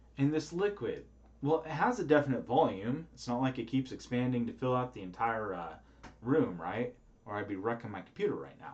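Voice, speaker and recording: A man's voice sits at a medium pitch and swings widely in loudness. Room echo is audible around him. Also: lively intonation, fairly quick pace. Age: 30s. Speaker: professor. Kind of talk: lecture. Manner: casual, with filler words.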